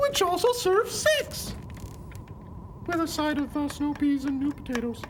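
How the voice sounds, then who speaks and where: Someone uses a put-on character voice at a high pitch and a moderate pace. Background noise is clearly audible. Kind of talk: comic deadpan. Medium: short film.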